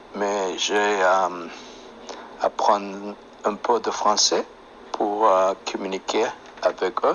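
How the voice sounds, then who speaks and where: Over noticeable background noise, a man speaks very slowly in a fairly low pitch, his intonation monotone and flat, with long, frequent pauses. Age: 50s. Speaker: chef, French learner. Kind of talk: interview in learner French. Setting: phone app call. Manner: halting.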